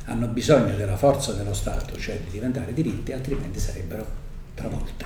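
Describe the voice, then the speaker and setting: A man in very wide pitch swings, with music in the background and audible room echo. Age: 70s. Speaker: judge. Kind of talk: lecture.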